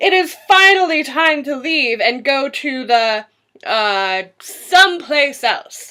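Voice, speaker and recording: Using a high-pitched, put-on character voice, a woman speaks at a very slow pace. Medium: read story.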